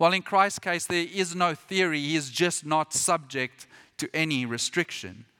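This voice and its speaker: In a very clean recording with a silent background and a dry, close sound with no echo, a man speaks at a moderate pace in a high-pitched, bright, sharp tone with ordinary pitch variation. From Britain. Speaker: missionary pastor. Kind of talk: sermon. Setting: church.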